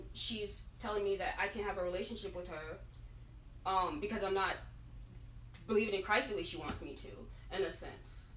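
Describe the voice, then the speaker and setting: A woman speaks at a fairly quick pace with long, frequent pauses. Audible room echo surrounds her voice. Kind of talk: tense relationship argument. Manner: fast.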